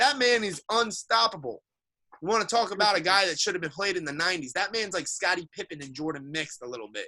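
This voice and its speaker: Very fast and high-pitched, a man speaks with a bright, sharp tone and lively intonation. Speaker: sports podcast co-host. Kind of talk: heated sports debate. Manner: animated.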